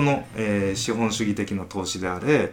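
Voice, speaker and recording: A man talks at a moderate pace with fairly low pitch. His pitch varies in an ordinary way, and there is noticeable background noise. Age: 30s. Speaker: company founder and engineering manager. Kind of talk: casual chat.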